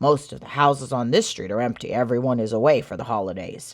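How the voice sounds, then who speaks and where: Using a put-on character voice, a man sounds raspy at a medium pitch, racing at a very fast pace with ordinary pitch variation. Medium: read story. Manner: sly, conspiratorial.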